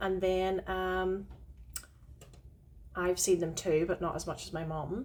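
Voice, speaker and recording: At a fairly slow pace, a woman speaks with a Northern Irish accent. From Northern Ireland. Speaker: podcast co-host, witch. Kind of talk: casual chat.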